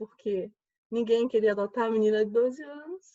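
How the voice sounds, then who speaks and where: The voice has a dark, mellow tone at a moderate pace, with a dry, close sound and no echo. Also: woman. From Alagoas, Brazil. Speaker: judge. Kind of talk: panel discussion. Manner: animated.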